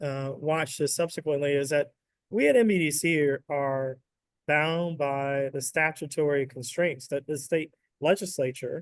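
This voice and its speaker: Fairly high in pitch, a man with an American accent and an unremarkable speaking voice keeps his intonation fairly even. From US South. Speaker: state economic development executive. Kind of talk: webinar interview.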